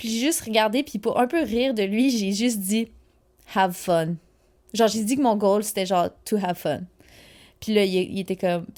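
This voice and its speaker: The recording is very clean, with a silent background. A woman talks at a medium pitch with ordinary pitch variation and big swings in loudness. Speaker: alpine ski racer and podcast host. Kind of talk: casual solo podcast monologue. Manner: fast; animated.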